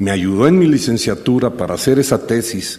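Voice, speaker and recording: A man's medium-pitched, dark, mellow voice with lively intonation at a fairly slow pace. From Mexico City. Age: 60s. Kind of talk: personal storytelling talk.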